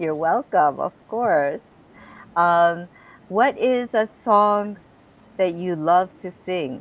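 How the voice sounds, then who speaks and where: A woman with a Japanese accent, medium pitch and lively intonation, at a very slow pace with long, frequent pauses. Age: 60s. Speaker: talk show host and health coach. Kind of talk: interview.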